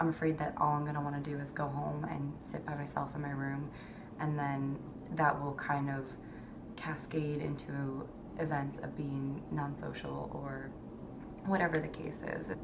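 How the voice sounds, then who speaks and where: Noticeable background noise under a moderate pace and monotone, flat intonation. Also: woman, very deep, low pitch for a woman. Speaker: incoming medical student. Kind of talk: casual talk to camera.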